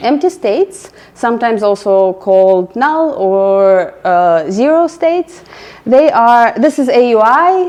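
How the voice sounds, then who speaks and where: A woman with a slight non-native accent and a fairly high pitch, very wide pitch swings, a fairly slow pace, and noticeable background noise. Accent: slight foreign. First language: not English. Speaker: product manager, meetup speaker. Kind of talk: presentation. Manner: hesitant, with filler words.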